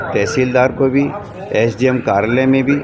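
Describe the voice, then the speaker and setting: A man speaks at a medium pitch with fairly even intonation while music plays in the background. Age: 70s. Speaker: complainant at public hearing. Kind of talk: interview testimony.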